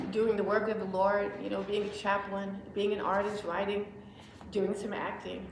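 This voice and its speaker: Intonation stays monotone and flat at a moderate pace, with noticeable background noise and audible room echo. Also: woman, medium pitch for a woman. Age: 70s. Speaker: writer and actress. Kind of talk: interview with audience Q&A. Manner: conversational, with many fillers.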